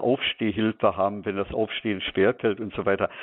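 This is a man speaking. His pitch is fairly low. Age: 70s. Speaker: medical supply technician. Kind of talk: radio interview. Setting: phone call.

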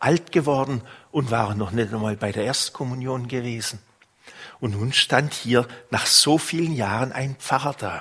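A man's medium-pitched voice in a warm tone, at a fairly slow pace with ordinary pitch variation. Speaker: priest. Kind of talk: sermon. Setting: church. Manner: warm, unhurried storytelling, pastoral and personal.

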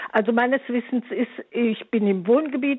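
In a normal speaking voice, a woman speaks at a fairly slow pace with a fairly high pitch and ordinary pitch variation. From Eifel, Germany. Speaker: caller. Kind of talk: radio call-in question. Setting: phone call.

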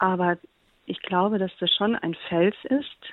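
Very slow in pace, a woman speaks at a medium pitch with ordinary pitch variation. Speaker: TV comedy writer and blogger. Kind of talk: interview testimony. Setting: remote call.

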